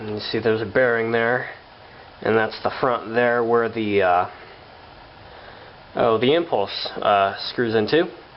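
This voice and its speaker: The speaker talks at a fairly slow pace with ordinary pitch variation and long, frequent pauses over noticeable background noise. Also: man, medium pitch for a man. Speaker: hobbyist tractor restorer. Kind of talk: tutorial. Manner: halting, many fillers; casual.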